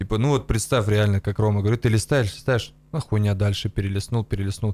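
A man is speaking. His pitch sits fairly low. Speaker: comedy podcast co-host. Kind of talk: casual chat. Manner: crude, profanity-heavy. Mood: relaxed, joking, swearing. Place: studio. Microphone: studio mic.

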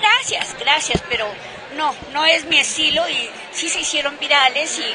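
Over crowd noise in the background, a woman speaks with a high pitch and ordinary pitch variation. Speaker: interviewee. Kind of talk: interview answer. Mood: amused, anecdotal. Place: hall.

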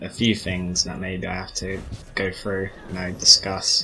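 A man speaks at an even, middling speed while music plays behind him. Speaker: gaming commentator. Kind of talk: casual commentary over gameplay.

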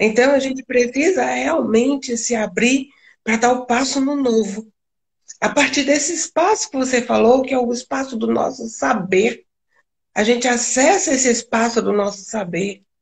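Her voice high for a woman, she talks at a moderate pace, her pitch shifting in an ordinary way. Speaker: spiritual channeler and live stream host. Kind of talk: casual spiritual chat on a live stream. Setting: video call live stream.

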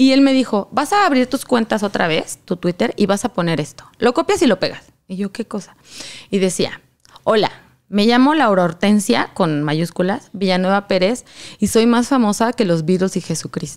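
With a Mexican accent, a woman speaks. Her intonation is lively. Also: moderate pace. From Mexico. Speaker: content creator. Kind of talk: casual chat. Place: studio. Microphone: studio mic.

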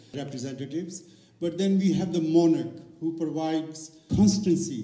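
A man talks at a moderate pace in a dark, mellow tone with ordinary pitch variation. The room echo is audible. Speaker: event host or organiser. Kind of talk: speech to audience. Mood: warm, celebratory. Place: stage. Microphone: handheld.

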